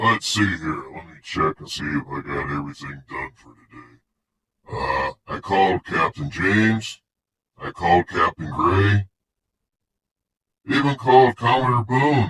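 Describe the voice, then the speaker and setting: A man's put-on character voice, fairly low in pitch with very wide pitch swings, big swings in loudness, a moderate pace and long, frequent pauses, in a dry, close sound with no echo. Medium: audio drama. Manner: gruff, blustery.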